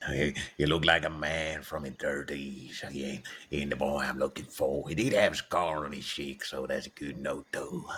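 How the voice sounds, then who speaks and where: In a put-on character voice, a man talks at a moderate pace, very deep and low in pitch, with flat, monotone intonation. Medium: game stream. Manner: cagey, playful.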